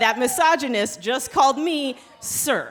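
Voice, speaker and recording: Here a woman speaks with a high pitch. Her pace is very slow. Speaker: storyteller. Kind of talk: live storytelling performance. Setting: live stage with audience. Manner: casual, conversational.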